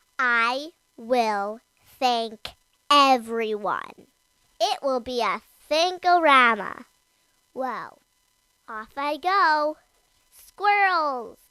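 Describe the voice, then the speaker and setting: A man's put-on character voice, extremely high-pitched, at a very slow pace with long, frequent pauses. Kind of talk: bedtime story character voice. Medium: read story. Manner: bouncy, enthusiastic.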